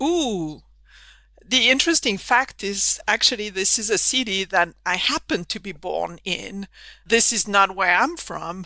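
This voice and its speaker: A woman talks with a French accent at a fairly slow pace. Her medium-pitched voice has a bright, sharp tone. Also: lively intonation. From southern France. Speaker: engineering professor. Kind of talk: podcast interview.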